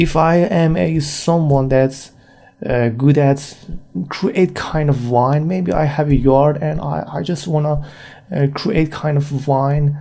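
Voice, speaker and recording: A man with a non-native accent talks at a very slow pace. His pitch is fairly high, with ordinary variation. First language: not English. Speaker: freelance graphic designer, podcaster. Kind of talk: solo podcast monologue. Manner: halting, many fillers.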